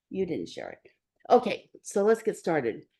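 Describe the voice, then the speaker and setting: A woman is speaking. She keeps a moderate pace. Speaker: guest speaker and teacher. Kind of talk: talk to a support group.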